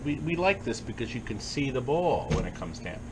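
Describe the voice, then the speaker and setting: Amid noticeable background noise, a man talks fairly quickly with very wide swings in pitch. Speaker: arcade business owner, TV infomercial personality.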